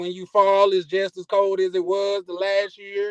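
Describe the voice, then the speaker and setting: A man with a Mississippi accent, high pitch, monotone flat intonation and a moderate pace, in a dry, close sound with no echo. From US South, Mississippi. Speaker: caller. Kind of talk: casual chat. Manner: halting, repetitive filler.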